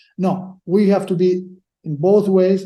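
A man's high-pitched, dark and mellow voice at a fairly slow pace. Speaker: sports lawyer. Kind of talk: casual interview chat. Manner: halting, hesitant.

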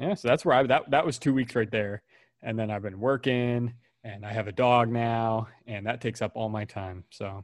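This man has an ordinary speaking voice at medium pitch with fairly even intonation. He talks at a moderate pace over a quiet background. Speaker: podcast co-host. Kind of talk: casual comedic chat, explicit. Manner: joking, banter, laughs often.

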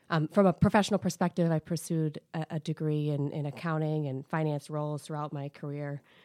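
Speaking at a very fast pace with an American accent, a woman's very deep, low voice carries a dark, mellow tone in a dry, close sound with no echo on a very clean recording with a silent background. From Minnesota, US Midwest. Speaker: private equity investor. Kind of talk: interview.

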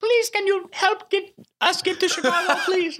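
An extremely high put-on character voice at a fairly slow pace. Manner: pleading, begging.

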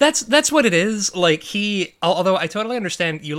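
With an American accent, the speaker talks at a moderate pace using very wide pitch swings. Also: man. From US Midwest, Chicago suburbs. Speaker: podcast host. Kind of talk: casual chat.

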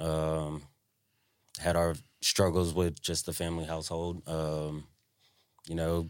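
A man speaks in a flat monotone with a Southern US accent. His pitch is very deep and low. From Tennessee (Franklin). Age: 20s. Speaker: podcast co-host. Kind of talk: casual chat.

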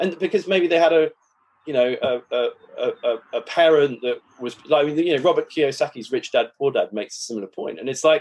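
This man speaks with an English accent and a fairly high pitch. His pitch variation is ordinary. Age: 40s. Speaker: author and investment professional. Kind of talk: interview. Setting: video call.

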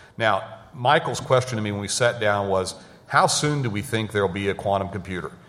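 Audible room echo surrounds a man who talks fairly quickly at a fairly low pitch with ordinary pitch variation. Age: 50s. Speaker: technology executive. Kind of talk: conference panel talk.

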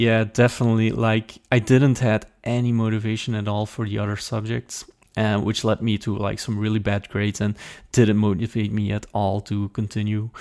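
Here a man talks in a Flemish accent at a moderate pace. His fairly low voice keeps a monotone, flat intonation. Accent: Flemish Dutch accent in English. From Belgium, Limburg (Flemish). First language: Dutch. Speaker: software developer and conference organizer. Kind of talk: interview. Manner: halting, many fillers.

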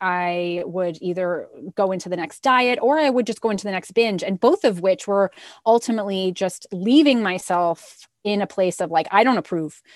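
With a plain, everyday voice, a woman talks at a medium pitch and moderate pace with ordinary pitch variation, the sound dry and close with no echo and the background quiet. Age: 40s. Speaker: health and body image coach. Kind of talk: casual interview.

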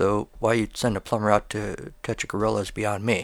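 A man talks at a fairly quick pace in a plain, everyday voice. The sound is dry and close, with no echo. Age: 40s. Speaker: podcast host and writer. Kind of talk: scripted narration.

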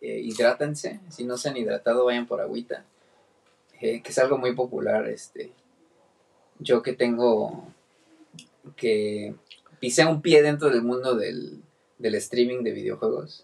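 Using a Mexican accent, a man speaks at a very slow pace with long, frequent pauses. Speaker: podcast host. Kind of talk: casual chat.

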